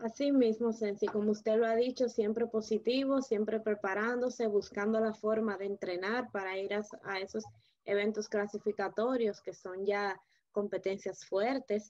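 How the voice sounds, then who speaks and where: Against a quiet background, a woman speaks at a moderate pace in a flat monotone. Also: fairly high pitch for a woman. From Dominican Republic. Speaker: interviewer. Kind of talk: interview. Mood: friendly, engaged. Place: home room. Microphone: video call.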